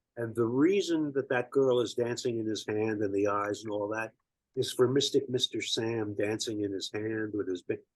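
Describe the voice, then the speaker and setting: A man's unremarkable speaking voice, medium-pitched, moderately paced, and with ordinary pitch variation. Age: 60s. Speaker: musician interviewed about album. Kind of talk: casual chat.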